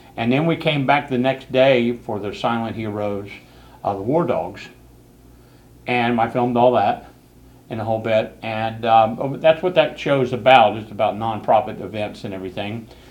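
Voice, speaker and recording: A man with an American accent speaks at a medium pitch and a moderate pace. His pitch varies in an ordinary way. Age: 60s. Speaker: local TV show host and video producer. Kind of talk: casual talk show chat. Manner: hesitant, with many fillers.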